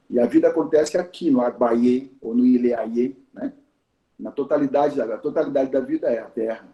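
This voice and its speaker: A man is speaking. His pace is moderate. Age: 60s. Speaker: teacher of Yoruba tradition. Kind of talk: talk in a conversation circle. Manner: hesitant, repeats words.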